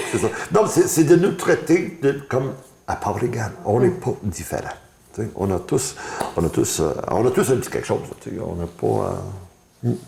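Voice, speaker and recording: Over noticeable background noise, a man talks at a moderate pace and a medium pitch. His pitch swings very widely, and he leaves long, frequent pauses. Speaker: blind interviewee giving testimony. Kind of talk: interview testimony. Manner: halting, repetitive stammering.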